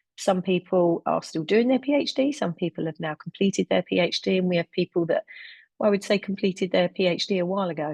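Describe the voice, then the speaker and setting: In a London accent, a woman speaks at a fairly low pitch, with a dry, close sound with no echo and a quiet background. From London, England. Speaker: health researcher and webinar chair. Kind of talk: webinar presentation. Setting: online webinar.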